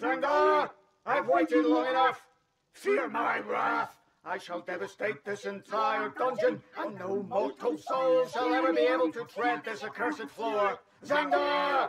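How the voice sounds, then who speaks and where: In a put-on character voice, a man speaks fairly slowly with a high pitch. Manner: menacing, then pleased and gracious.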